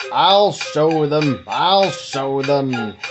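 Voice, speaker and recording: A put-on character voice sits at a middle pitch. Background noise is clearly audible. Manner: hissing, angry and cross.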